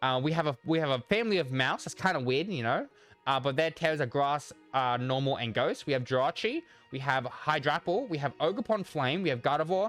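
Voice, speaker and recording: A man speaks at a fairly quick pace with a fairly high pitch. His pitch varies in an ordinary way, with music playing in the background. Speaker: gaming YouTuber. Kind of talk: casual commentary. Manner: halting, many repeated words; stutters.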